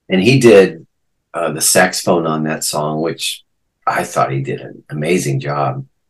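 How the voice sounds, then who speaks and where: A man's very deep, low voice with vocal fry, ordinary pitch variation and a fairly slow pace. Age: 60s. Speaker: guitarist. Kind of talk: casual interview chat.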